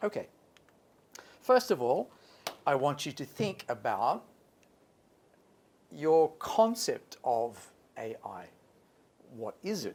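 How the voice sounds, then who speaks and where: With an Australian accent, a man speaks very slowly, leaving long, frequent pauses as his pitch swings very widely and his loudness rises and falls sharply. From Australia, Sydney. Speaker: English teacher. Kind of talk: workshop talk. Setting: stage with audience, PA system.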